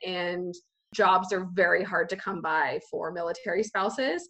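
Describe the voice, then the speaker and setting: With an American accent, a woman talks at a medium pitch. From Australia, then California from teens. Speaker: military spouse, government worker. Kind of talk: casual interview chat.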